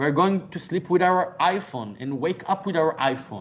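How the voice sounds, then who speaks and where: This man talks with a non-native accent. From Israel. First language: Hebrew. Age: 40s. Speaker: author and motivational speaker. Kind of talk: interview conversation. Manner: halting, repeats words.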